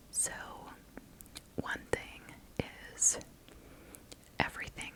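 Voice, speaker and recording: Over noticeable background noise comes whispering at a very slow pace. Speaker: ASMR creator. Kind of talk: ASMR storytime. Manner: whispered.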